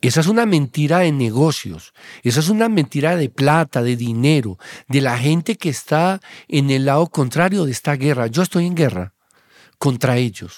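In a plain, everyday voice, the speaker moves at a moderate pace with lively intonation and very even loudness. The recording is very clean, dry and close, with a silent background and no echo. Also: man. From Colombia, Antioquia (Abejorral). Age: 50s. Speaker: psychiatrist. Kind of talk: interview conversation.

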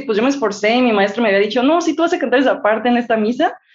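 A woman with a Mexican accent speaks with lively intonation. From Mexico. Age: 20s. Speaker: singer-songwriter. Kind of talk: interview.

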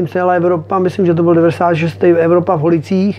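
With noticeable background noise behind him, a man talks at a moderate pace in a high pitch. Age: 40s. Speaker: motocross racer. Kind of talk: interview. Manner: casual, hesitant with fillers.

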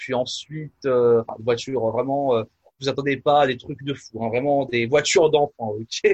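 A man's somewhat breathy, medium-pitched voice, fairly slow and fairly even in intonation, with a dry, close sound and no echo. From France, Nièvre. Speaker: pastor and musician. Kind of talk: casual interview. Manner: halting, many fillers.

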